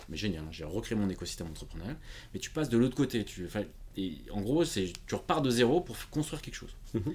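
Somewhat breathy and medium in pitch, a man talks at a fairly quick pace, his pitch swinging very widely and his loudness rising and falling sharply. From France, Portuguese family. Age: 40s. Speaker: independent IT consultant. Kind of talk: interview conversation.

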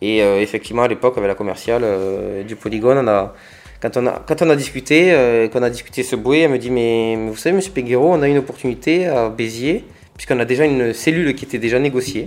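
A man talks at a very fast pace with a medium pitch. His pitch varies an ordinary amount. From France, Hérault (Agde). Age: 30s. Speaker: entrepreneur. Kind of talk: interview. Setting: studio. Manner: halting.

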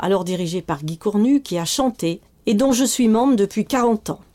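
A dark, mellow tone at a fairly slow pace, with lively intonation. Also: woman. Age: 60s. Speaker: retired notary. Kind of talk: testimony. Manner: formal.

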